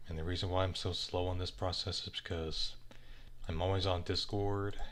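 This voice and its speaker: Audible room echo surrounds the speech. A man delivers it at a moderate pace. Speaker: animator livestreaming art work. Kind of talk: casual livestream chat while drawing. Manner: halting, many fillers.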